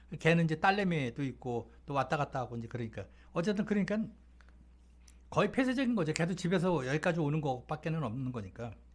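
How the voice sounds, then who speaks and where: Talking very fast, a man with a fairly high voice swings his pitch very widely. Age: 60s. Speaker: talk show guest telling life stories. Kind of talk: casual storytelling chat. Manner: casual, conversational with fillers.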